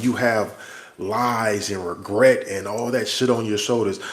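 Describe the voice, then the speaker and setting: With fairly even intonation, a man talks at a medium pitch through noticeable background noise. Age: 40s. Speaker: army soldier and vlogger. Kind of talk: livestream monologue. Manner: casual, conversational.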